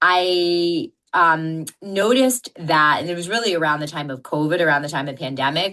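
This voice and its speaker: Loud and with a bright, sharp tone, a woman talks with hardly any pauses. Her pitch is fairly low, and the background is quiet. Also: ordinary pitch variation, moderate pace. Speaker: fertility doctor. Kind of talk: interview.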